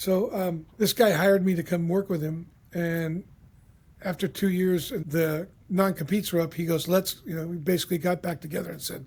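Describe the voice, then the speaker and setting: At a fairly quick pace, a man speaks at a high pitch with fairly even intonation, in a very clean recording with a silent background. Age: 70s. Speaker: leadership consultant. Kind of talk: podcast interview. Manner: casual.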